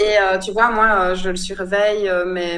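A woman of medium pitch speaks amid audible room echo and noticeable background noise. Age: 30s. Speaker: photographer. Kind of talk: interview. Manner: hesitant, many fillers.

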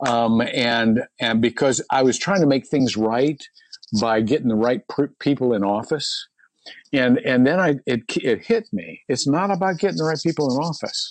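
This man has a normal speaking voice at a medium pitch. He talks at a moderate pace with lively intonation. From US Midwest. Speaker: pastor. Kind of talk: interview.

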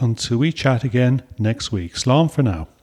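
A man with an Irish accent and lively intonation, on a very clean recording against a silent background. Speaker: podcast host. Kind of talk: casual chat.

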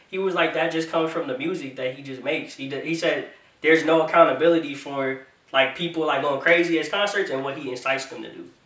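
Against noticeable background noise, a man talks at a very fast pace and fairly high pitch with ordinary pitch variation. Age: 20s. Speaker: podcast host. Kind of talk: casual chat. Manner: animated.

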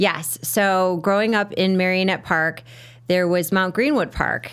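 In an ordinary speaking voice, a woman with an American accent talks at a fairly slow pace with ordinary pitch variation, on a very clean recording with a silent background. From Chicago South Side. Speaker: fitness instructor and yoga teacher. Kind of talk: interview.

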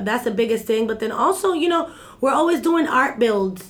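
Over noticeable background noise, the speech runs at a fairly quick pace with an animated tone and ordinary pitch variation. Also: woman. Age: 30s. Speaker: community activist. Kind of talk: interview.

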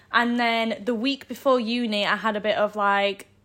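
A very clean recording, silent background, and a voice with ordinary pitch variation. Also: woman. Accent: Yorkshire. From northern England, Sheffield area. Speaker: university student. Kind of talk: casual interview.

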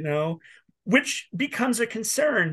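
Over a quiet background, a man with an American accent speaks at a moderate pace in a bright, sharp tone with lively intonation. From North Dakota, US Midwest. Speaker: musician. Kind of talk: casual chat. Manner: animated.

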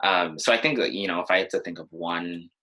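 A man speaks with a Californian accent. His very deep, low pitch comes with a bright, sharp tone. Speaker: former student body president. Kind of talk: interview conversation.

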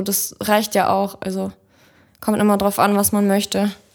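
A woman is speaking. Her pace is moderate. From Kazakhstan, moved to Germany at six. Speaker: photographer. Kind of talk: casual chat.

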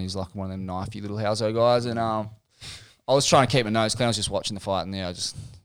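In a very clean recording with a silent background, a man with an Australian accent speaks in a fairly low, monotone voice with flat intonation. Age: 30s. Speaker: surf journalist. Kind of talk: casual chat.

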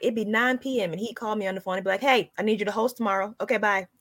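On a very clean recording with a silent background and a dry, close sound with no echo, a woman with a slight Southern US accent talks very fast at a fairly high pitch. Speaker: comedian. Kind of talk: casual chat.

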